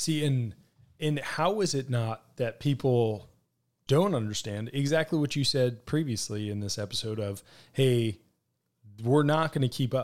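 A man at a medium pitch and moderate pace, an ordinary speaking voice with ordinary pitch variation, on a very clean recording with a silent background. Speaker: podcast host and military veteran. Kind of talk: podcast interview.

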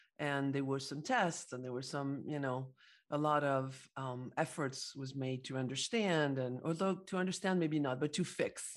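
A woman's very deep, low voice in a French accent, at a moderate pace with ordinary pitch variation, in a very clean recording with a silent background. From Paris, France. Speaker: psychologist and entrepreneur. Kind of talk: interview.

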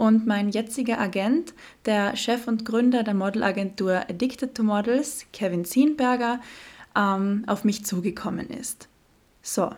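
A woman's fairly high voice comes across as somewhat breathy. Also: ordinary pitch variation. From Austria, Carinthia (Klagenfurt). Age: 20s. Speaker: fashion model and podcast host. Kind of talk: solo podcast monologue.

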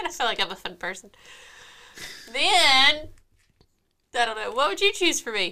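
Projecting a raised voice at a high pitch, a woman speaks at a moderate pace with very wide pitch swings and long, frequent pauses. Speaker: podcast co-host. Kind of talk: casual chat.

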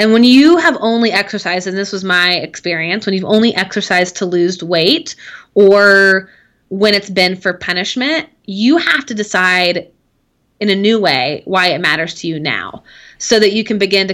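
A woman with an ordinary speaking voice at a moderate pace. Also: medium pitch for a woman, ordinary pitch variation. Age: 30s. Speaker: life and business coach. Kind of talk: casual chat.

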